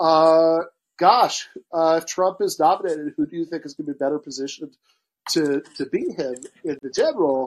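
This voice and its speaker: A plain, everyday voice from a man with an American accent, fairly high in pitch, fairly even in intonation, at a moderate pace, with big swings in loudness and a dry, close sound with no echo. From Michigan. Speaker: podcast host. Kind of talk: casual chat.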